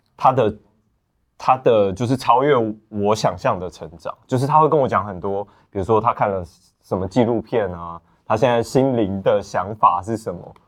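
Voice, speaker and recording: With a quiet background, a man in a plain, everyday voice speaks at a moderate pace with fairly low pitch, ordinary pitch variation and big swings in loudness. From Taiwan, Lukang (Changhua). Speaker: actor. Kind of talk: casual chat.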